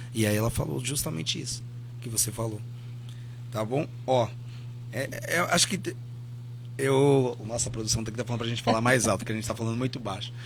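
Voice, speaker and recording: Pausing often and at length, a man with a medium, somewhat breathy voice speaks with fairly even intonation amid audible room echo. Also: fairly quick pace. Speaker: community radio podcast host. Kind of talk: podcast interview. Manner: soft-spoken.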